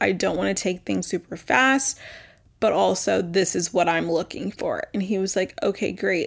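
A woman's medium-pitched voice in an American accent, at a moderate pace, on a very clean recording with a silent background. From Texas. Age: 20s. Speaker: podcast host. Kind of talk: casual solo chat. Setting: at home. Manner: animated.

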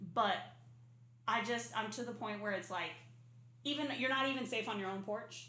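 A woman with an American accent speaks in a fairly high pitch, leaving long, frequent pauses. Noticeable background noise and audible room echo surround her voice. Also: fairly even intonation, moderate pace. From Arizona. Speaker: podcast co-host. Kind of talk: casual chat. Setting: apartment without AC.

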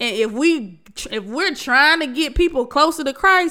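A woman's raised, projected voice, bright, sharp and animated, with very wide pitch swings at a moderate pace, in a very clean recording with a silent background. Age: 30s. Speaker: podcast host. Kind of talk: casual monologue.

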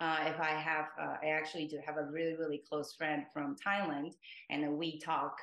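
With a Japanese accent, a woman speaks in a very deep, low pitch and a monotone, flat intonation. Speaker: multilingual language-club member. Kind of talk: interview.

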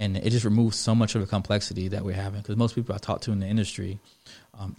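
A man with a Florida accent at a very fast pace, fairly low in pitch, somewhat breathy and dark, mellow in tone, his intonation monotone and flat, on a very clean recording with a silent background. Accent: fast Florida-style. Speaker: business co-founder guest. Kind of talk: casual interview chat. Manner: fast talker.

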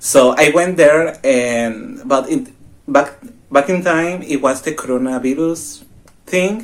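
A man with a Mexican accent speaks at a very slow pace. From Mexico. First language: Spanish. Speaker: exchange student. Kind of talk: casual chat.

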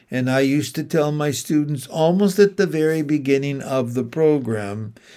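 In a Canadian accent, this dark, mellow voice moves at a fairly slow pace with ordinary pitch variation. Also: man. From Ontario, Canada (St. Catharines). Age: 70s. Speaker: retired teacher educator. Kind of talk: solo podcast monologue.

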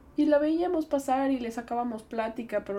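Noticeable background noise is present throughout. The speaker goes at a moderate pace, with pitch varying in an ordinary way. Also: woman. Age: 20s. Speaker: podcast host. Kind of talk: personal reflection monologue.

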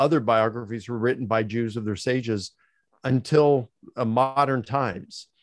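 A man with an American accent uses an ordinary speaking voice at a medium pitch, a moderate pace and ordinary pitch variation. The background is quiet and the sound dry and close, with no echo. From Baltimore, Maryland, US. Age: 60s. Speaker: theology professor. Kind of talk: interview about biblical scholarship.

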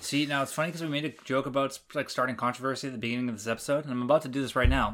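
In a very clean recording with a silent background, a man with a Canadian accent talks at a medium pitch with fairly even intonation. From Canada. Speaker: podcast host. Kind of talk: casual chat.

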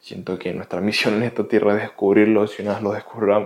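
The voice is a man's, pitched fairly low. Intonation stays monotone and flat. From Venezuela. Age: 20s. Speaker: podcast host. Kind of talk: motivational monologue.

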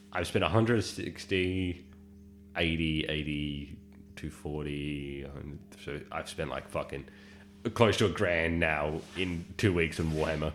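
With an Australian accent, a man speaks at a very slow pace in a very deep, low pitch, with ordinary pitch variation and long, frequent pauses. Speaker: podcast co-host. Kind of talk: casual chat.

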